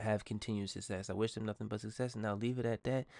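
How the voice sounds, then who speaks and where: A mumbling man against a quiet background. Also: dry, close sound with no echo. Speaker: podcast host. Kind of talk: casual solo podcast monologue.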